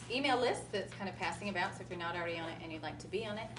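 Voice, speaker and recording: This woman has an American accent and a medium pitch with lively intonation. Noticeable background noise and audible room echo surround her voice. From US Midwest, Kansas. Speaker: spiritual channeler. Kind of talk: talk to live audience. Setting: stage with audience at expo.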